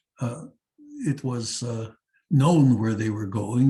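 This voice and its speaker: A somewhat breathy man at medium pitch, with ordinary pitch variation and a fairly slow pace. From Netherlands. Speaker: psychiatrist and Holocaust survivor. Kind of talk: testimony talk. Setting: seminar talk to teachers. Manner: halting, frequent uh fillers.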